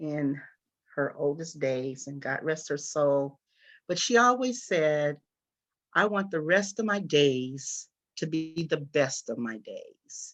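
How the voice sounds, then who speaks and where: With a bright, sharp tone and lively intonation, a woman speaks very slowly at a very deep, low pitch. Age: 70s. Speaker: panelist on aging. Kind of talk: panel discussion.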